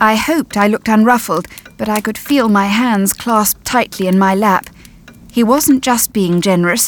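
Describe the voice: The pitch moves in an ordinary way. It's plain reading aloud.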